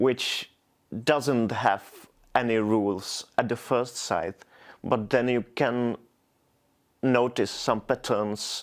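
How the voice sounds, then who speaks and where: Over a silent background in a very clean recording, a man speaks very slowly in a monotone, flat intonation at medium pitch. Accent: Czech. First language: Czech. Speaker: poet. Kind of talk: interview. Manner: halting, frequent repetitions.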